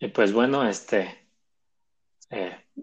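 Pitch rises and falls in an ordinary way. The words come out very slowly. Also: man. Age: 20s. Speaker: podcast host, bank employee. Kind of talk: casual chat.

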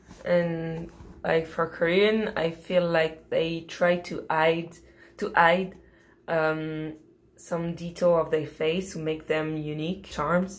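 A woman with a fairly low pitch speaks in a French accent. Her pace is very slow and her intonation is monotone and flat. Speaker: podcast host. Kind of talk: casual chat.

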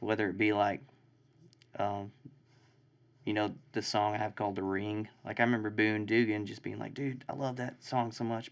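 A man with a Texan accent speaks at a moderate pace in a flat, monotone delivery, with a fairly low pitch. He leaves long, frequent pauses against a quiet background. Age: 20s. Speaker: songwriter and band member. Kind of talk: casual chat. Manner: casual, profane.

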